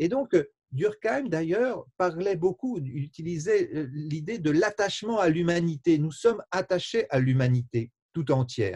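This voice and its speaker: A man with a high-pitched voice speaks at a fairly slow pace with lively intonation. The sound is dry and close, with no echo. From France. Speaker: sociologist. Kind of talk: interview. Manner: halting, many hesitations.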